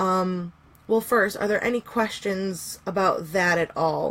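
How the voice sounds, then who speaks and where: A woman's plain, everyday voice at a medium pitch with ordinary pitch variation, a fairly slow pace, on a very clean recording with a silent background. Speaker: pagan teacher. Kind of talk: live stream workshop. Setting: live stream. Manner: casual with many fillers.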